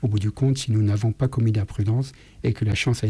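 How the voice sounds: A natural reading voice with fairly even intonation carries the clip.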